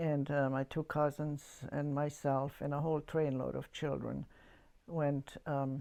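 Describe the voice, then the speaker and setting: A woman's very deep, low voice in a German accent, dark and mellow in tone, flat and monotone, at a fairly slow pace. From Yugoslavia, German-speaking community. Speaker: church member giving testimony. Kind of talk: testimony. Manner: halting.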